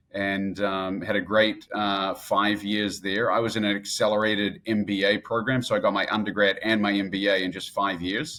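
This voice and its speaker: Hardly pausing at all, a man with a New Zealand accent speaks at a moderate pace and fairly low pitch in a monotone, flat intonation. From New Zealand, Christchurch then Auckland. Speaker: entrepreneur, real estate investor. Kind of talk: podcast interview. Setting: remote, at a conference in Dallas.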